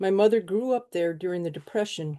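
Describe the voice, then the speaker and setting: In a northern US accent, a woman talks at a moderate pace and medium pitch, her dark, mellow tone carried by lively intonation against a quiet background. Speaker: mutual aid volunteer. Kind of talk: webinar talk. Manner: reading from notes.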